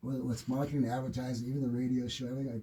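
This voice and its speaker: A man's somewhat breathy voice, medium in pitch, with a dark, mellow tone. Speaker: radio host and fitness coach. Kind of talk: radio show talk. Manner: fast; animated.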